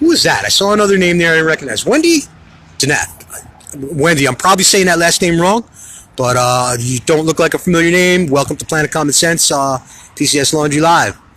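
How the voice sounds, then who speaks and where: Fairly high in pitch, a man talks at a fairly quick pace in an animated tone with ordinary pitch variation. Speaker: political livestream host. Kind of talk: live stream chat reading comments. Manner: fast.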